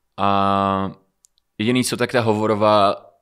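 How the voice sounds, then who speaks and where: A man talks at a pitch fairly low for a man, set against a quiet background. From Moldova, raised in Czech Republic from age 4. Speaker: rapper and singer; podcast guest. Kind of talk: casual interview. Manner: hesitant, filler-heavy. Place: studio. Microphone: studio mic.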